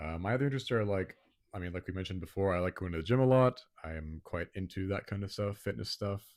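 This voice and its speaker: Soft-spoken and at a very fast pace, a man with an American accent and very deep, low pitch speaks with ordinary pitch variation in a very clean recording with a silent background. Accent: sounds American. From Botswana. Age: young. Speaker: podcast co-host, engineering student. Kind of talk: casual chat. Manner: quiet, soft-spoken. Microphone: handheld mic held close to mouth.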